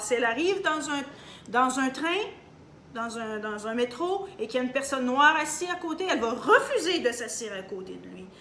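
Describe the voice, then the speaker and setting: A woman speaks at a moderate pace in a high voice with a Canadian French accent, her pitch swinging very widely. The room echo is clearly audible. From Canada. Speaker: opinion vlogger. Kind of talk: opinion monologue. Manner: animated; halting.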